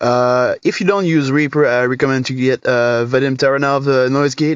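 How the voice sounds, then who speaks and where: Speaking with a French accent, a man talks at a fairly slow pace in a fairly high pitch with fairly even intonation. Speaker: guitar tone tutorial youtuber. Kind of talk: tutorial. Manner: hesitant, many fillers.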